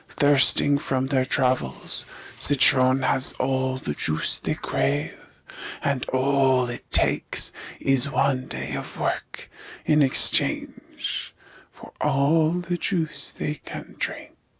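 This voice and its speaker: This cartoonish character voice sits at a low-to-middle pitch. It moves at a very slow pace. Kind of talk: allegorical fable narration. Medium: puppet show. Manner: measured, ironic.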